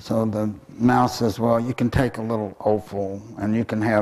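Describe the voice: The speaker is doing plain reading aloud, keeping the intonation mostly level.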